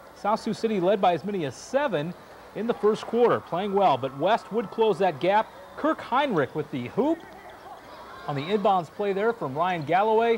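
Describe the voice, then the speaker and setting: Amid noticeable background noise, a man with a high pitch uses a playful, animated tone full of very wide pitch swings. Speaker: sports highlights anchor. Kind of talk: live play-by-play sports commentary voiceover over game highlights. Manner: animated, quick, punchy play-by-play calls; playful, joking banter between segments.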